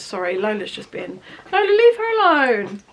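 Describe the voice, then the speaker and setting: Speaking at a fairly quick pace, a woman talks with an English accent. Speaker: beauty vlogger. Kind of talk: product review vlog. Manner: fast; chatty.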